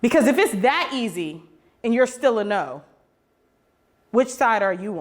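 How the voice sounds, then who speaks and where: Animated in tone, a woman speaks at a fairly high pitch with very wide pitch swings, a fairly slow pace, and long, frequent pauses. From Oakland, California, US. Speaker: activist speaker. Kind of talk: public talk.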